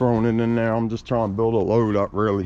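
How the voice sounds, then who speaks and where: A man with an American accent and a medium pitch, against noticeable background noise. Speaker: scrap metal collector vlogger. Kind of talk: casual vlog narration.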